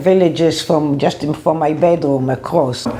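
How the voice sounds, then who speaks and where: Pitch rises and falls in an ordinary way, and the delivery is moderately paced. Background noise is clearly noticeable. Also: woman. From Israel, Ra'anana. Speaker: interviewee. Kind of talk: interview testimony.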